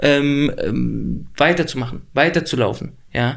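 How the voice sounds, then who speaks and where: This man's voice sits fairly high. His pitch varies in an ordinary way. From Berlin, Neukölln. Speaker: actor. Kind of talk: interview. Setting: studio. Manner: clear articulation.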